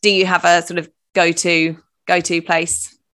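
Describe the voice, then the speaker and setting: A woman with a British accent has a bright, sharp tone and a fairly low pitch. The recording is very clean, with a silent background. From UK. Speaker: podcast host. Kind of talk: podcast interview.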